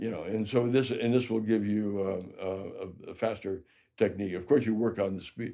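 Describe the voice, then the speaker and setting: A man with an American accent talks at a moderate pace in a fairly low voice. His tone is dark and mellow, and his intonation fairly even. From Chicago, Illinois. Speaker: jazz trumpet player. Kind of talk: interview answer.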